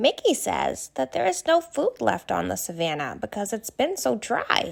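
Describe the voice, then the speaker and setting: A woman speaks in a put-on character voice, medium in pitch and warm in tone, at a moderate pace. The recording is very clean, with a silent background. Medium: read story. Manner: warm, friendly.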